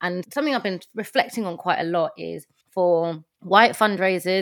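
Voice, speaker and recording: A woman speaks with a London accent. The recording is very clean, with a silent background. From London, Tottenham. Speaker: nonprofit fundraising consultant. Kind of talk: casual interview chat. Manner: animated, laughs often.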